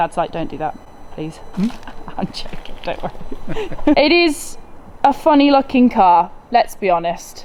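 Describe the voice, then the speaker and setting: A woman with a British accent speaks at a fairly slow pace in a fairly high voice, her pitch swinging very widely and her loudness rising and falling sharply, with noticeable background noise behind her. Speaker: car content creator. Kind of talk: casual conversation.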